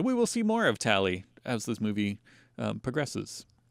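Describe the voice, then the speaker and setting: A moderate pace over a very clean recording with a silent background. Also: man. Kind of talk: casual podcast discussion.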